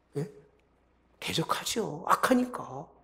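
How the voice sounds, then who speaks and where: Speaking fairly slowly, the man has a high voice for a man. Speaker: pastor. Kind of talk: sermon.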